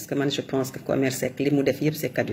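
With a Senegalese accent, a woman speaks at a very deep, low pitch. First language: Wolof (speaking French). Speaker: commentator. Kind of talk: monologue commentary.

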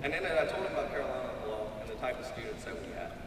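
A man talks at a very fast pace. Background noise is clearly present. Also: medium pitch for a man, lively intonation.

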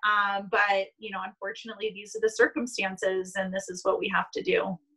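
Against a quiet background, a woman talks at a moderate pace with hardly any pauses, her tone bright and sharp. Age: 20s. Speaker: sports team marketing staff; interview guest. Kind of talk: casual interview. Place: home room. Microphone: video call.

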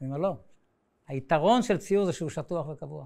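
A man's pitch moves in an ordinary way as he talks against a quiet background. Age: 60s. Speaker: painter and art teacher; art teacher. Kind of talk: lecture. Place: classroom.

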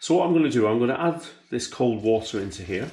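Audible room echo surrounds a man's voice. He speaks somewhat breathily at a fairly quick pace. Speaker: butcher demonstrating recipe. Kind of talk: tutorial. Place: kitchen.

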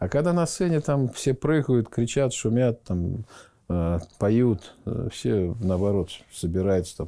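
A man talks with lively intonation. His tone is dark and mellow. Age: 50s. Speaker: theatre school rector, former dancer. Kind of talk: interview. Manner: hesitant, with many filler words. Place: office. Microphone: lapel.

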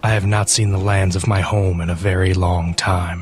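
A man speaks in a put-on character voice with a very deep, low pitch. His delivery is flat and monotone at a moderate pace.

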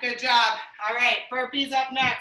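Against a quiet background with audible room echo, a woman speaks in a raised, projected voice at a high pitch and a fairly slow pace. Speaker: fitness instructor. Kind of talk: live exercise class, cueing moves and counting down reps to a follower. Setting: video workout at home, morning session. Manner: encouraging and friendly, warm sign-offs. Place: home room.

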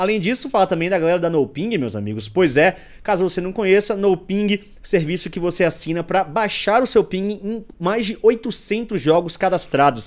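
Against a quiet background, a man talks in a high voice. His pitch varies in an ordinary way. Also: moderate pace. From Brazil. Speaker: podcast host. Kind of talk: casual chat; sponsor read. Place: studio. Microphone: studio mic.

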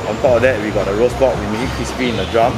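A man is speaking. Music plays in the background. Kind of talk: interview answer. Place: market.

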